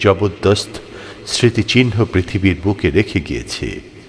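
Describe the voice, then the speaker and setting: A man speaks over noticeable background noise. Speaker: news reader. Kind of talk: scripture translation reading.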